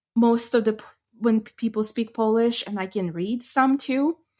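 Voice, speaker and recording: On a very clean recording with a silent background, a woman with a Ukrainian accent speaks at a moderate pace in a fairly high pitch with fairly even intonation. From western Ukraine. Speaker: podcast co-host, English teacher. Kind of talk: casual chat.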